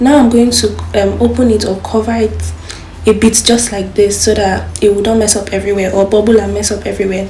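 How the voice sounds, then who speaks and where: Fairly quick speech from a woman, with noticeable background noise and audible room echo. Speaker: cooking youtuber. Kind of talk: cooking tutorial. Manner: fast; casual.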